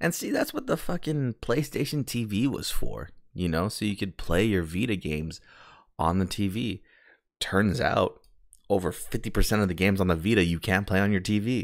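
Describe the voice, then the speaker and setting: Lively intonation and an animated tone come through on a very clean recording with a silent background. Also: man, fairly low pitch for a man. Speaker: podcast co-host. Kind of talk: casual chat. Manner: fast.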